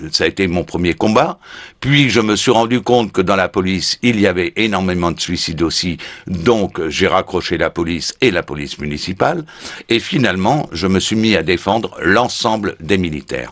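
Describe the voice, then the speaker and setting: The delivery comes at a moderate pace with lively intonation. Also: man, very deep, low pitch for a man. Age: 70s. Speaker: retired gendarme and website founder. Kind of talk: radio interview. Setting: radio studio. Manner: hesitant with frequent fillers.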